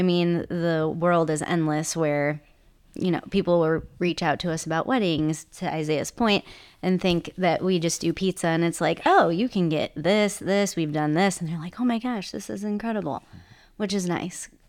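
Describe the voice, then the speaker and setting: A woman with an American accent and an ordinary speaking voice, fairly low pitch, ordinary pitch variation and a moderate pace, on a very clean recording with a silent background. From US Midwest, Chicago northwest suburbs. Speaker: food truck co-owner. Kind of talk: casual interview.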